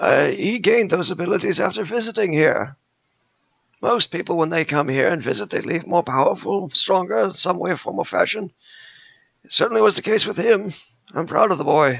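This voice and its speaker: A raspy, put-on character voice from a man, high-pitched for a man, at a moderate pace. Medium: actual play. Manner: rambling, genial, absent-minded.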